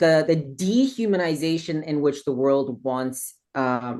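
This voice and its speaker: In a slight South African accent, the speaker goes at a very slow pace with ordinary pitch variation against a quiet background. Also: woman. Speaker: interview guest. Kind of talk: interview conversation. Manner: animated.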